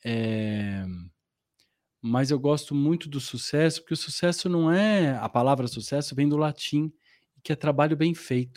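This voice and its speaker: Fairly slow speech from a man at a fairly high pitch, with ordinary pitch variation, in a very clean recording with a silent background. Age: 40s. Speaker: actor. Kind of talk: interview. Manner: animated.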